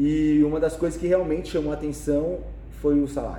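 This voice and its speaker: A man's moderate-paced speech carries audible room echo, with noticeable background noise around it. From Brazil, São Paulo. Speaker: personal trainer. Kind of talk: interview.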